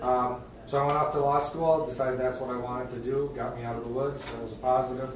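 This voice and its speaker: Speaking at a very fast pace, a man with an Upper Midwest accent keeps a monotone, flat intonation at medium pitch. Noticeable background noise and audible room echo fill the recording. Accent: Upper Midwest American. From northern Wisconsin. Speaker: judge. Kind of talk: self-introduction at a town board meeting. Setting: town board meeting room. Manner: casual, halting with many fillers. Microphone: soft, quiet recording.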